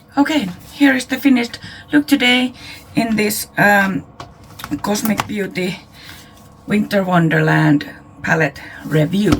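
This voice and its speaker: With music in the background, a woman of medium pitch speaks fairly slowly, taking long, frequent pauses, her pitch swinging very widely. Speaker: beauty YouTuber. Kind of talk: product review. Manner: quiet.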